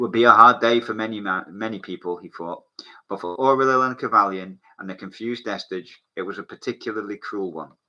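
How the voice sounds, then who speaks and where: Music plays in the background as a man talks at a fairly quick pace with big swings in loudness. His pitch is fairly low, with ordinary pitch variation. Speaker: author reading own novel aloud. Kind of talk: reading aloud. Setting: livestream wearing ear defenders. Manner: casual, halting asides.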